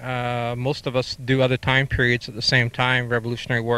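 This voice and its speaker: A man's very fast, monotone delivery with flat intonation, bright and sharp in tone, in a dry sound with no echo. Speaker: historical reenactor. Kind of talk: interview. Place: open country. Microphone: handheld.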